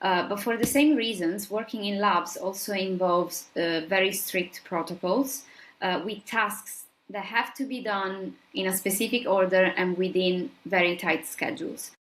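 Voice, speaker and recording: A woman at medium pitch with an Italian accent, speaking at a fairly slow pace. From southern Italy. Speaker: scientist. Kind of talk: interview.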